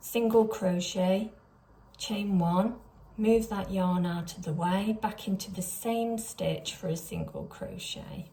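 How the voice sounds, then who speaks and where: Over audible room echo, a woman speaks in a dark, mellow, somewhat breathy tone with fairly even intonation. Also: medium pitch for a woman. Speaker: crochet pattern designer. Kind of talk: tutorial.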